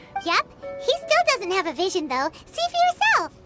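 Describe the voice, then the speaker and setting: Over loud background music, a squeaky, put-on character voice at an extremely high pitch moves at a moderate pace. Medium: video game. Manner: lively, talkative.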